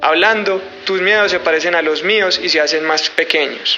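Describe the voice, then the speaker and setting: Noticeable background noise sits under the voice. The speech moves at a fairly quick pace with fairly even intonation. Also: man. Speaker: podcast host. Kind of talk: show intro narration.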